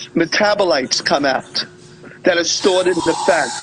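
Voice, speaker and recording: Noticeable background noise accompanies a man who keeps to a moderate pace. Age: 60s. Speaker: weight-cut and conditioning coach. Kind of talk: casual chat.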